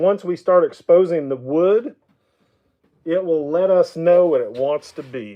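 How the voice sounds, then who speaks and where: A man speaks with an Oklahoma accent. His pitch is high. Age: 50s. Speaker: woodturner. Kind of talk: live stream chat. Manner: casual, conversational.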